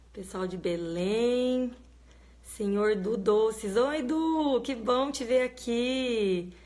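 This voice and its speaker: A woman talks at a very slow pace in a room with audible echo. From Minas Gerais, Brazil (Guaxupé, south of Minas). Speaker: live stream host, reading educator. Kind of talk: live stream chat. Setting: live video stream from parents' home. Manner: casual, conversational.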